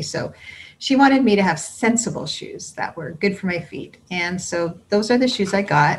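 At a moderate pace, a woman talks with a somewhat breathy quality. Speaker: speaker. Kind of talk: children's message storytelling. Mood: warm, gentle. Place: home room. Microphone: webcam.

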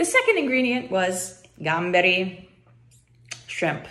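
A woman with an American accent talks at a fairly slow pace and a fairly low pitch. Her intonation is lively. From United States. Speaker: YouTuber. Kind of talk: casual vlog talk. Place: home room. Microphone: phone near.

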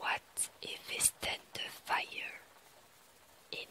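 Against noticeable background noise, someone whispers at a very slow pace. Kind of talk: poetry reading. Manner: whispered.

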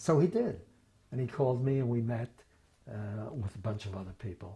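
In an American accent, a man talks at a moderate pace with a dark, mellow tone and a somewhat breathy quality. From Philadelphia. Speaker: former state legislator. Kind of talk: oral history interview answer. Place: office. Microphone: lapel.

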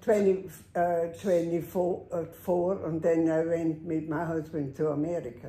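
A woman with a dark, mellow tone and fairly low pitch speaks at a very slow pace with fairly even intonation amid audible room echo. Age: 80s. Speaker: longtime patient. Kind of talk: interview. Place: home room. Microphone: camera far.

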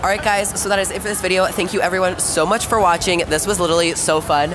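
The speech runs at a very fast pace over clear background music. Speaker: vlog host. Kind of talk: casual vlog chat. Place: street. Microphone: camera far.

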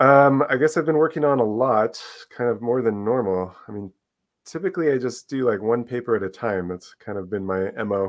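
Fairly quick talk from a man with ordinary pitch variation over a quiet background. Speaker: guest. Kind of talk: interview answer. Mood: relaxed, smiling. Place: home room. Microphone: video call.

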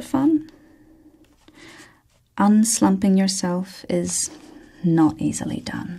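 Against a quiet background, a soft-spoken woman talks in a somewhat breathy voice with a dark, mellow tone. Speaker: ASMR reader. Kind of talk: ASMR book reading. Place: studio.

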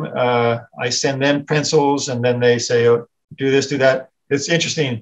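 Speech comes from a man at a moderate pace. He has an American accent. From US South. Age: 60s. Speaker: editorial cartoonist; guest. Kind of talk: casual chat. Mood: relaxed, reflective. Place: home room. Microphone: video call.

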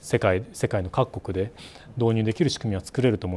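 At a fairly quick pace, a man talks at a fairly low pitch in a dark, mellow tone. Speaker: company CEO. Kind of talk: interview. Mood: earnest, reflective. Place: office. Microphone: lapel.

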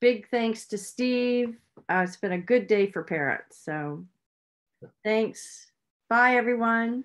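Speaking at a very slow pace with long, frequent pauses, a woman uses a fairly high pitch and ordinary pitch variation over a quiet background. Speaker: rescue organization host. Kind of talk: moderating a Q&A. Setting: video call. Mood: warm, appreciative. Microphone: video call.

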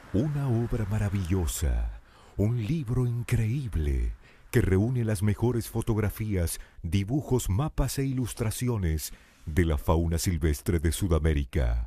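Somewhat breathy and dark, mellow in tone, a man speaks at a fairly low pitch and a very slow pace. His pitch swings very widely in a very clean recording with a silent background. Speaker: voice-over announcer. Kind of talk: promotional voice-over. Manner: emphatic.

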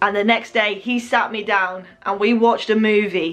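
A woman talks fairly slowly. Her intonation stays fairly even. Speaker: vlogger. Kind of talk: casual vlog storytelling.

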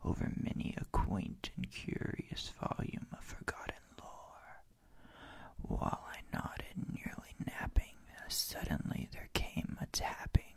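A man whispers at a very slow pace. His loudness swings widely. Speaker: poetry reader. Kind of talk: poetry reading aloud. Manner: soft-spoken ASMR poem reading. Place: home room. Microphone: studio mic.

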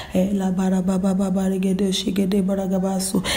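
The speaker talks at a fairly quick pace in a passionate tone. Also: woman. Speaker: prayer leader praying in tongues. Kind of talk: praying in tongues. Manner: passionate and fervent, building in rhythm. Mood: fervent, devotional. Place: hall. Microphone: handheld.

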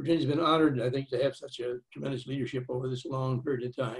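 The man speaks very fast. Nothing much sounds behind him. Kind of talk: opening remarks speech. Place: home room. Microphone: webcam.

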